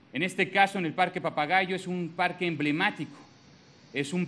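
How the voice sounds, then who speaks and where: A man with a Mexican accent speaks at a fairly slow pace. His high voice has a bright, sharp tone and ordinary pitch variation. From Mexico. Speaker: government minister. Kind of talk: public speech. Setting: public event with audience. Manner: formal. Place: hall. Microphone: podium.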